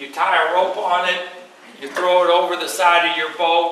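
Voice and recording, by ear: With strong room echo around him, a man talks at a moderate pace in a bright, sharp tone at a fairly high pitch.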